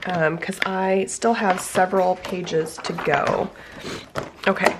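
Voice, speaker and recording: A woman speaks at a very slow pace with monotone, flat intonation. Noticeable background noise runs underneath. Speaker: planner crafting YouTuber. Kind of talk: tutorial. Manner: halting, many ums.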